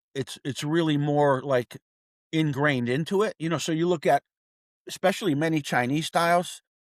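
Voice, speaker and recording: At a moderate pace and with ordinary pitch variation, the voice sounds dry and close with no echo on a very clean recording over a silent background. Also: man, fairly high pitch for a man. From US Northeast, Connecticut (Wethersfield). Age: 60s. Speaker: martial arts teacher. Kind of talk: podcast interview. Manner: casual, animated.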